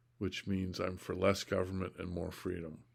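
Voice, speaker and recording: A man is speaking. His pace is moderate. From California, moved around US incl. Oklahoma and Hawaii. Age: 50s. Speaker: political candidate and video blogger. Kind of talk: self-recorded monologue.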